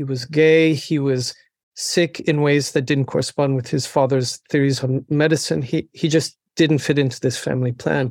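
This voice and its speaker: At a moderate pace, a man speaks with a fairly high pitch and monotone, flat intonation. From US West, Laramie, Wyoming. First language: French. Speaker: professor. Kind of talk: interview. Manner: halting, frequent repetitions.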